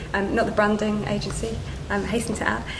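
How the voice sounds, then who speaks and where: Fairly quick, monotone, flat speech with audible room echo and noticeable background noise. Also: woman. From Yorkshire, northern England. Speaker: account director at a branding agency. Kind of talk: panel talk at a business event. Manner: halting, many fillers.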